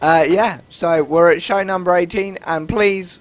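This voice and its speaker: The pace of speech is moderate. Noticeable background noise runs underneath. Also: man. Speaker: gaming podcast host. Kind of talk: casual chat.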